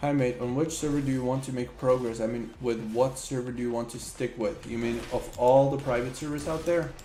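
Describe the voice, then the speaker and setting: A man with a non-native accent talks in an animated tone at a fairly quick pace, with hardly any pauses. Noticeable background noise and audible room echo fill the recording. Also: medium pitch for a man. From Slovakia. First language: Slovak. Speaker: gaming streamer. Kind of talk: live gameplay stream chat. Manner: casual, animated.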